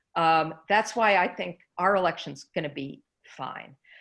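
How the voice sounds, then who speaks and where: A woman talks at a moderate pace in a medium pitch. It is a plain, everyday voice on a very clean recording with a silent background. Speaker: election expert presenter. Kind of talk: panel Q&A.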